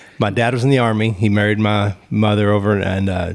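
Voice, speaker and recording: A man talks in a fairly low pitch with a monotone, flat intonation. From Texas (Killeen, central Texas). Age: 40s. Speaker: state trooper. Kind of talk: casual interview chat.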